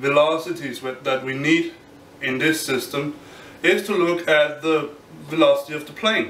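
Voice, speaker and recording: A man's fairly high voice at a moderate pace with ordinary pitch variation, audible room echo and light background noise. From Denmark. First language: Danish. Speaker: physics graduate student. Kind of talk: explainer tutorial; lecture. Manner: halting. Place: home room.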